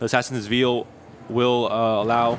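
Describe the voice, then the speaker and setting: A man speaks while music plays in the background. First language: Spanish. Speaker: esports caster. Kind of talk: live commentary.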